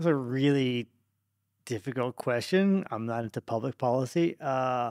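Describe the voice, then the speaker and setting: Recorded very cleanly with a silent background and a dry, close sound with no echo, a man speaks at a moderate pace and medium pitch with ordinary pitch variation. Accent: Australian. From Australia. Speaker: tech entrepreneur. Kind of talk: podcast interview.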